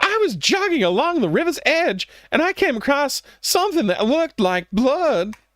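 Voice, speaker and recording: This put-on character voice sits at a high pitch and makes very wide pitch swings. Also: moderate pace. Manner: excited.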